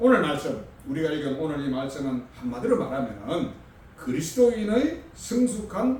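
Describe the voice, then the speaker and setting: A man at a fairly slow pace with very wide pitch swings, plus noticeable background noise and audible room echo. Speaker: pastor. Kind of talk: sermon. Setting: church. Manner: halting, stumbling over words.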